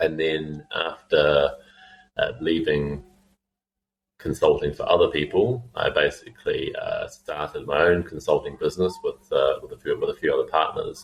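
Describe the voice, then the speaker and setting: In a New Zealand accent, a man talks at a moderate pace. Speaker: fintech founder and CEO. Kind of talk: podcast interview. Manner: halting, many fillers and repeats.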